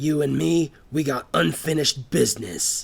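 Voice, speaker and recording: Using a put-on character voice, a man sounds raspy and fairly high-pitched, with very wide pitch swings at a moderate pace. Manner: growling through gritted teeth; menacing.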